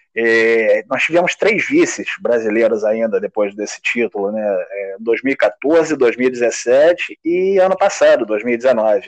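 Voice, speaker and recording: A man speaks very slowly with very wide pitch swings. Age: 40s. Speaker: table football player. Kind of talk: interview. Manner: halting, many repetitions.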